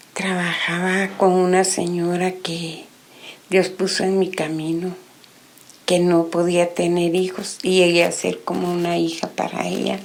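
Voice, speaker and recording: A woman talks at a fairly slow pace in a fairly low, monotone, flat voice. Audible room echo and noticeable background noise surround her. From Guatemala, Guatemala City. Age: 60s. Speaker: testimony giver. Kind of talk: religious testimony.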